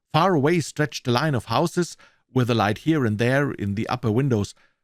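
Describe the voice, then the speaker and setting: Recorded very cleanly against a silent background, a man with a German accent speaks at a medium pitch with very wide pitch swings, in a dry, close sound with no echo. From Germany. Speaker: voice actor. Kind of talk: audiobook reading. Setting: studio.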